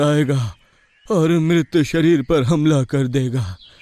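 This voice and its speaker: Putting on a cartoonish character voice, a man talks at a very slow pace with a fairly high pitch and ordinary pitch variation. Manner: grave, commanding, instructive.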